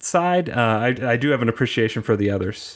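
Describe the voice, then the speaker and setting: A man in an ordinary speaking voice, pitched in the medium range, talks at a moderate pace. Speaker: tech manager and theme park enthusiast. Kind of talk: interview. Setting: remote call.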